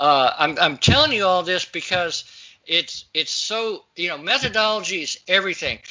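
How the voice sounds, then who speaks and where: This man's voice is high in pitch, with lively intonation. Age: 60s. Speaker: natural health practitioner. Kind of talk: interview.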